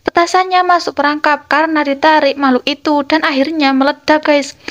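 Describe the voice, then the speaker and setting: A woman with a high voice speaks at a fairly quick pace. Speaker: film recap narrator. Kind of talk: dramatic narration. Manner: animated, suspense-building storytelling pace; casual, addressing viewers as 'guys'. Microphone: lapel.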